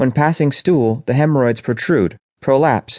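With a plain, everyday voice and lively intonation, a man talks at a moderate pace in a dry, close sound with no echo. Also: quiet background. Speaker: audiobook narrator. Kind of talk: audiobook narration of health nonfiction, informational reading. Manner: even, clear, instructional, measured.

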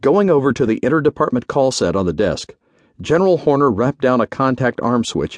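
Someone reads in a natural reading voice.

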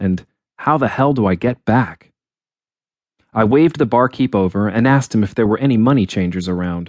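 With a quiet background behind him, a man speaks at a fairly quick pace in a medium pitch, using ordinary pitch variation and long, frequent pauses. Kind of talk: audiobook narration, first-person fantasy story read aloud.

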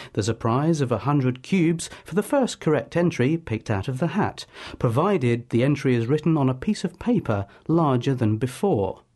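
Somewhat breathy, the voice moves at a moderate pace with lively intonation over a quiet background. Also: man. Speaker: comedian and broadcaster. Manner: formal pseudo-documentary tone with straight-faced nonsense.

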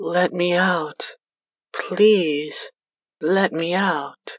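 In a put-on character voice, the speaker talks soft-spoken at a middle pitch. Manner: pleading.

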